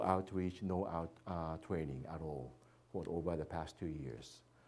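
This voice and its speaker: With audible room echo, a man's dark, mellow tone carries fairly even intonation. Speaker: missionary. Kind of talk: church presentation. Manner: halting, many fillers.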